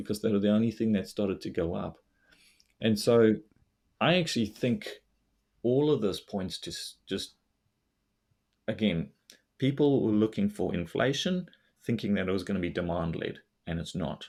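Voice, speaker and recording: In a South African accent, the speaker keeps a moderate pace with lively intonation and long, frequent pauses, on a very clean recording with a silent background. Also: man, fairly low pitch for a man. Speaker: investor and finance blogger. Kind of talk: casual interview chat.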